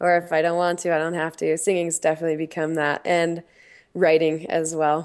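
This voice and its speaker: Against a quiet background, a woman with an American accent speaks at a fairly quick pace in a fairly low pitch, her intonation monotone and flat. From Utah, US. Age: 20s. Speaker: professional skier. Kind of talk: casual chat. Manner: relaxed.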